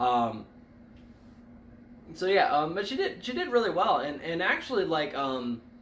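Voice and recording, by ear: A man at a fairly high pitch, fairly bright in tone, with very wide pitch swings, a fairly slow pace and audible room echo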